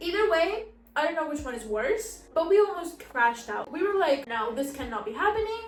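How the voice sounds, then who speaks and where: A woman with an extremely high pitch and very wide pitch swings, in a Spanish accent, with noticeable background noise and audible room echo. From Spain. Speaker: lifestyle vlogger. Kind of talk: casual vlog chat.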